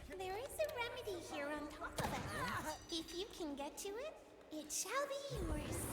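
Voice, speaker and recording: A female-sounding put-on character voice hits an extremely high pitch at a moderate pace. Loud background noise and a clear echo surround it. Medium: machinima. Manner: calm, cryptic.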